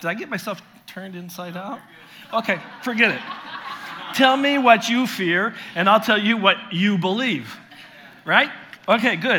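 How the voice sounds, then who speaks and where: A man projects a raised voice at a high pitch, with noticeable background noise. He leaves long, frequent pauses. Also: ordinary pitch variation, moderate pace. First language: French. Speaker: visiting pastor and preacher. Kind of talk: sermon. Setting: church.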